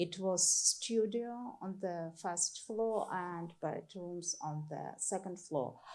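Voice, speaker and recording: A medium-pitched female voice with a Ukrainian accent, very slow in pace with hardly any pauses, and ordinary pitch variation. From Ukraine, Kyiv region. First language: Ukrainian or Russian. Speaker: artist. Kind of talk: artist talk to audience. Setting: stage with audience. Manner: halting, searching for words.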